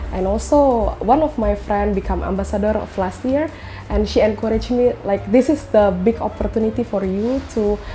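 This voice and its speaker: With music in the background, a woman talks at a moderate pace in an Indonesian accent. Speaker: housewife and travel content creator. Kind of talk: interview. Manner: hesitant, frequent fillers.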